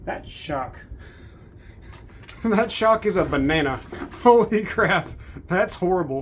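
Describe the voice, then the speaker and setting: The intonation is lively. Background noise is noticeable. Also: woman. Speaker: RC car youtuber. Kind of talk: unboxing video. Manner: soft-spoken; thinking aloud, casual.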